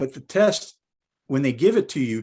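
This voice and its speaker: Over a quiet background, a man with a medium-pitched voice talks at a moderate pace, his pitch swinging very widely. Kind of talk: podcast interview. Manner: soft-spoken; halting.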